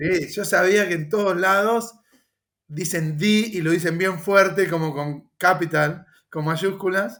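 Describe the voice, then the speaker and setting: With fairly even intonation, a man speaks at a very slow pace in a high pitch. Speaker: podcast host. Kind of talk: podcast interview.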